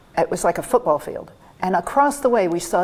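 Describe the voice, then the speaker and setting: Over noticeable background noise, a woman with an American accent speaks at a medium pitch with lively intonation. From Iowa, US Midwest. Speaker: retired college instructor. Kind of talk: oral history interview.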